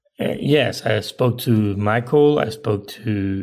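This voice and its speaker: With a Spanish accent, a man speaks at a very slow pace. His pitch is fairly low. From Spain. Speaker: film director. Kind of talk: interview.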